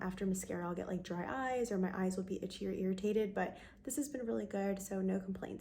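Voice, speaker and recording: A soft-spoken woman talks at a fairly quick pace with medium pitch. Her pitch varies in an ordinary way. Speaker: beauty vlogger. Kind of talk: casual talk to camera.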